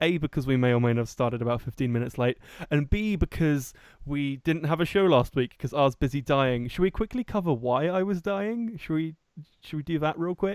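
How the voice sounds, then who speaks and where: Fairly high in pitch, a man with an English accent talks at a fairly quick pace using lively intonation. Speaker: podcast host. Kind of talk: casual chat. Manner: animated.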